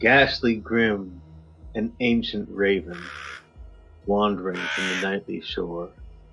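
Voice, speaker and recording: A man speaks very slowly at a fairly low pitch, leaving long, frequent pauses as music plays in the background. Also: ordinary pitch variation. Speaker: podcast co-host. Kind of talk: dramatic poetry reading. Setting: remote recording.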